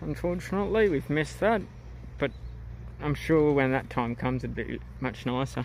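A man talks at a moderate pace over light background noise, the sound dry with no echo. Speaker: travel vlogger. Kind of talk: casual vlog narration. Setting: outdoors. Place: open country. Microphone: muffled by face mask; phone near.

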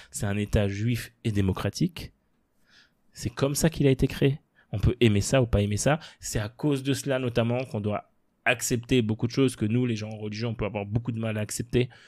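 On a very clean recording with a silent background, a man speaks fairly quickly in a plain, everyday voice at medium pitch, with fairly even intonation. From France, Paris suburbs (Sarcelles). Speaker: former member of parliament. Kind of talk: interview.

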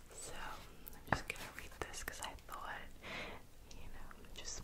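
Whispering comes in a gentle tone at a fairly slow pace. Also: woman. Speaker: ASMR creator. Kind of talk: ASMR close-up whispering. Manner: soft, gentle, intimate. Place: home room. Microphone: studio mic.

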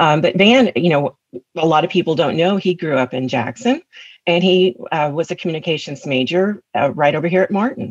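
A woman's fairly low voice with lively intonation, a fairly quick pace, and a dry, close sound with no echo. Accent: Tennessee. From West Tennessee, US South. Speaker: attorney and community service leader. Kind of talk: interview.

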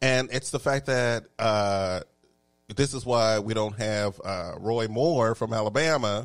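A man speaks very slowly in a Texan accent, at a medium pitch with ordinary pitch variation. The recording is very clean, with a silent background. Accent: Texan Southern US. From Texas. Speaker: talk show host. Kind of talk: casual chat. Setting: studio. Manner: animated.

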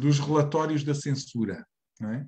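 A man's fairly high voice at a very slow pace, with fairly even intonation. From Portugal. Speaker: reading group moderator; presenter. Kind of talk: moderated discussion. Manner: halting. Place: home room. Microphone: video call.

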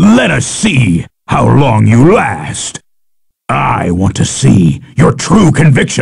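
A man puts on a character voice. It sounds raspy. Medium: dub. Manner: taunting, boastful.

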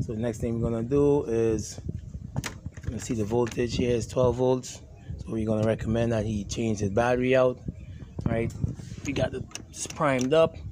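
At a moderate pace, a man talks with fairly even intonation and long, frequent pauses amid noticeable background noise. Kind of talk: tutorial. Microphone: phone near.

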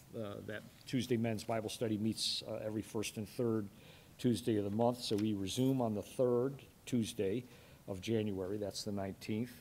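A man talks in a monotone, flat voice. There is light background noise. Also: fairly low pitch for a man, moderate pace. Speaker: church announcer. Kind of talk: announcements. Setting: church. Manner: halting, many fillers. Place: church. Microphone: podium.

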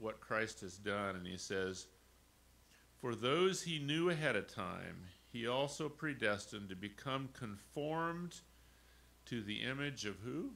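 A man talks at a fairly slow pace with lively intonation. His tone is bright and sharp. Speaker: pastor. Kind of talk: communion meditation. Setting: church. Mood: warm, conversational. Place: church. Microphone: podium.

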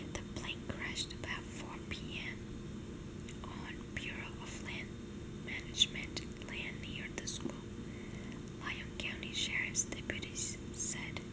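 Long, frequent pauses break up the speech. Loud background noise runs throughout. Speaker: ASMR content creator reading news aloud. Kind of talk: ASMR whisper reading of a newspaper with page flipping and tapping.

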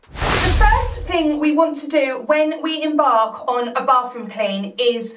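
With audible room echo, a woman speaks with ordinary pitch variation. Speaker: cleaning vlogger. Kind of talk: tutorial. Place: home room.

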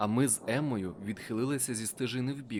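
A man with an unremarkable speaking voice at a moderate pace. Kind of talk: dramatic audiobook narration, first-person. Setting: audiobook. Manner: tense, urgent, breathless action pacing.

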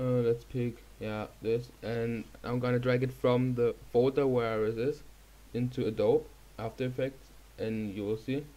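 A man with a German accent speaks at medium pitch in a dark, mellow tone. His pace is fairly slow and his intonation fairly even. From Germany. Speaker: YouTuber. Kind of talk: tutorial. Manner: hesitant, many fillers.

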